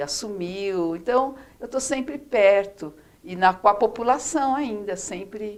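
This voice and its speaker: Her voice sits at a medium pitch, and this woman uses lively intonation. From Brazil, São Paulo state interior. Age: 60s. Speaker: former city councillor. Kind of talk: interview. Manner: halting, many fillers.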